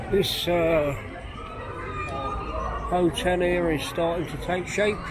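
A man speaks at a very slow pace. There is noticeable background noise. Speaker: walking tour vlogger. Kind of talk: casual walking commentary. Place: street. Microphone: phone near.

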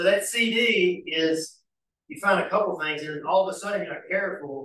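A man talks at a moderate pace. Light background noise and audible room echo can be heard. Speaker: church study class teacher. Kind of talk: bible study lecture. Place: church. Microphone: camera far.

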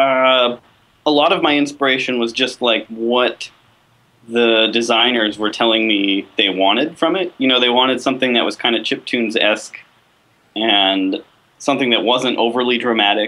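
With very even loudness and ordinary pitch variation, a man talks at a moderate pace. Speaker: video game composer. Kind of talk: interview. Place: home room. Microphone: video call.

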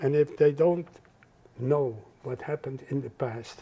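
Speaking with a Dutch accent, a man has a dark, mellow, somewhat breathy tone. His pitch is medium and his pace moderate. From Netherlands. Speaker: Holocaust survivor. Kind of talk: interview answer. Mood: earnest, reflective. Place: home room. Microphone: lapel.

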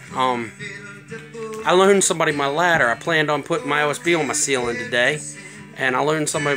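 Clear music plays in the background. The voice shows ordinary pitch variation. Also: man. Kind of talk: casual vlog chat. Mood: relaxed, pleased. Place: home room. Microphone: phone near.

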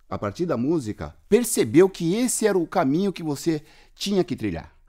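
Against a quiet background, a man with a dark, mellow tone and fairly high pitch speaks at a moderate pace with very wide pitch swings. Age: 50s. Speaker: podcast host. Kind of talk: casual interview. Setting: remote call. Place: studio.

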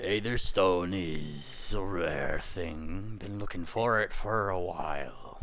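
Using a put-on character voice, a man growls at a fairly low pitch and a very slow pace over clear background noise. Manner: gruff, menacing.

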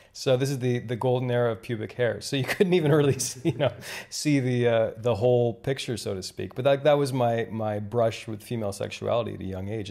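With a Canadian accent, a man talks at a moderate pace. His tone is dark and mellow, with ordinary pitch variation. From Canada, rural Ontario. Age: 30s. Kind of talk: casual chat. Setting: hotel room.

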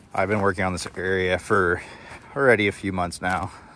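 In a dry recording with no echo and light background noise, a man speaks at a very deep, low pitch. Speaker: farm owner vlogger. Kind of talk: casual vlog chat. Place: farm machine. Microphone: phone near.

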